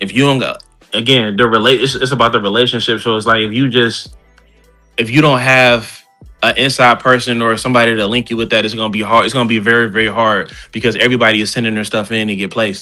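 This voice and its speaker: With music in the background, a man speaks at a very fast pace in a medium pitch with monotone, flat intonation. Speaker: rapper. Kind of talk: interview answer. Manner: casual.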